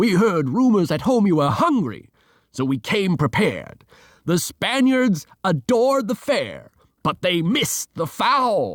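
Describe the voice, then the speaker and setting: In a put-on character voice, a man speaks high and at a fairly slow pace with very wide pitch swings, in a very clean, dry, close recording with no echo and a silent background. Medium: read story. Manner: hearty.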